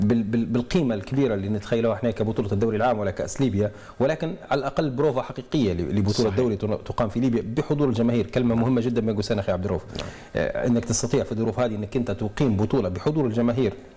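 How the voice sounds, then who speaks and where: Ordinary pitch variation marks a man's very fast speech. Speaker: studio guest or commentator. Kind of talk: interview answer. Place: studio. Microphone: lapel.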